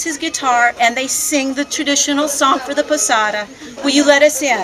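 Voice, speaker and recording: A woman speaks loudly at a moderate pace, her pitch high and her intonation fairly even. Background noise is noticeable. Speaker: volunteer. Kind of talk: speech to visitors at an open house.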